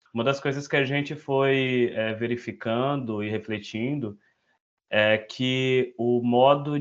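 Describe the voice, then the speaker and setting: A man speaks very slowly with fairly even intonation. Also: quiet background. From northern Brazil, Altamira, Pará. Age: 20s. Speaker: education researcher. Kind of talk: self-introduction in an online meeting. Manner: halting, many fillers.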